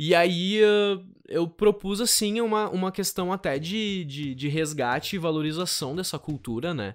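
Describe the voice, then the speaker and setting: Pitched high for a man, this voice shows ordinary pitch variation. He speaks at a fairly slow pace. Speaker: theatre teacher and storyteller. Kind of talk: podcast interview. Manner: hesitant, many fillers.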